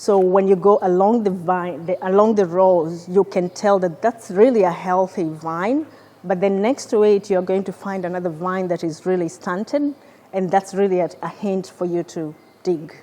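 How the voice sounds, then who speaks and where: A woman's medium-pitched voice with a non-native accent, at a moderate pace and with ordinary pitch variation. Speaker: research scientist. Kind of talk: presentation. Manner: halting, with repeated words.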